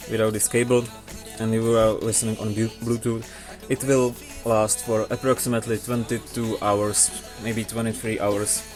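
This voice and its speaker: Music plays in the background as a man talks. His medium-pitched voice moves at a fairly slow pace. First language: not English. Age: young. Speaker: tech reviewer. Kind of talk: casual product review to camera.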